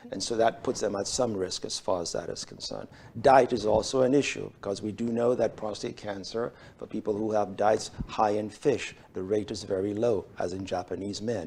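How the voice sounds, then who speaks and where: Speaking with a non-native accent, a man holds a moderate pace and fairly even intonation at a fairly low pitch. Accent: foreign. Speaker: urologist. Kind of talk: medical interview. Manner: hesitant, many fillers.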